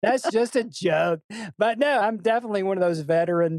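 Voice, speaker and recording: With a Tennessee accent and ordinary pitch variation, a man talks in a dry, close sound with no echo. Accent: Southern US (Tennessee). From US South, Memphis Tennessee. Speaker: songwriter and music business executive. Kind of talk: interview. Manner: animated.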